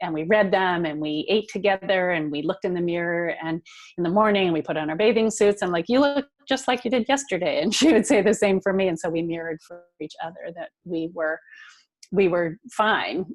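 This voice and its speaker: A woman talks at a fairly quick pace in an ordinary speaking voice, keeping a medium pitch with ordinary pitch variation. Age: 60s. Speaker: nonprofit founder. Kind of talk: interview. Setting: podcast.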